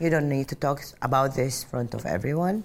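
The speaker is a woman. She talks with an Arabic accent. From Saudi Arabia (Mecca). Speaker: airline pilot. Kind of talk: personal testimony interview. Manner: loud.

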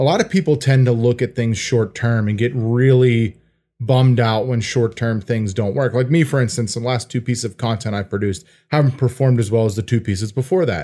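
Over a very clean recording with a silent background, a man in a normal speaking voice talks at a fairly quick pace, with a medium pitch and ordinary pitch variation. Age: 30s. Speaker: podcast co-host and furniture maker. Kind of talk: casual interview.

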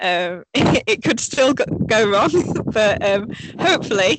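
A woman's voice in a Yorkshire accent. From northern England, Sheffield, Yorkshire. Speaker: elite orienteer. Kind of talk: casual interview. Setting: remote call from training camp abroad.

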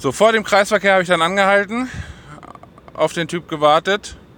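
A man is speaking. His pace is moderate. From northern Germany (Uelzen area). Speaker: podcaster and vlogger. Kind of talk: casual solo chat. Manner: animated.

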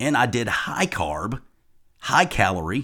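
With vocal fry and lively intonation, a man is heard on a very clean recording over a silent background. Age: 50s. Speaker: fitness and nutrition coach. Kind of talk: solo podcast monologue.

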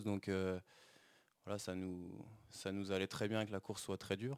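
The recording is very clean with a silent background. A man speaks in a fairly low pitch with flat, monotone intonation. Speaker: professional cyclist. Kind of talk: interview.

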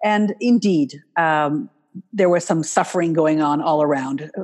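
A woman speaks at a very deep, low pitch and a fairly slow pace. Her loudness stays very even, and her pitch varies in an ordinary way. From Canada, US and Switzerland. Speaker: wealth management marketing consultant. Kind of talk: interview.

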